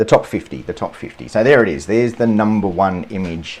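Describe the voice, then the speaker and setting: A man with a strong Australian accent talks at a moderate pace, his fairly low pitch carrying lively intonation. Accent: broad Australian. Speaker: landscape photographer, photography YouTuber. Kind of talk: live stream commentary. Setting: live stream. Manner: casual, hesitant with repetitions.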